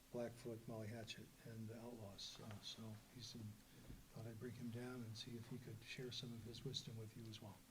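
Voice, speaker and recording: Amid audible room echo, a man talks at a fairly quick pace in a medium pitch with monotone, flat intonation. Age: 70s. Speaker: rock musician, panelist. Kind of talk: panel discussion.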